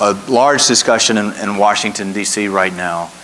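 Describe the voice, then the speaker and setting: A man speaks at a fairly low pitch and a moderate pace. Noticeable background noise runs underneath. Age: 60s. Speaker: trade association executive, moderator. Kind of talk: panel interview.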